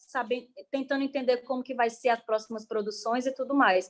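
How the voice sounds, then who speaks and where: Her pitch is high, and this woman's voice shows ordinary pitch variation. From Brazil, Ceará (Caucaia, near Fortaleza). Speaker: artist and guest teacher. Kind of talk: online class presentation. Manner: fast.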